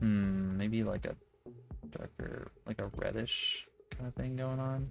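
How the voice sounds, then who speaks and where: A man talks fairly slowly while music runs behind him. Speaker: gaming youtuber. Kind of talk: gameplay commentary. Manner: casual, thinking aloud.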